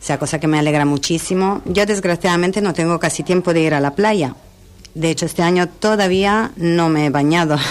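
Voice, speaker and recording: This woman's voice sits fairly low and moves at a fairly quick clip. Her pitch varies normally while her loudness stays very even. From Italy (Milan). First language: Italian (speaking Spanish). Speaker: hotel director. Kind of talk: radio interview. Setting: radio studio.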